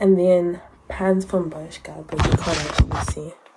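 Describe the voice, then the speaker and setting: A woman speaks over loud background noise. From Zimbabwe. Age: 20s. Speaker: international student. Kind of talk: casual vlog talk to camera. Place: home room. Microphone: phone near.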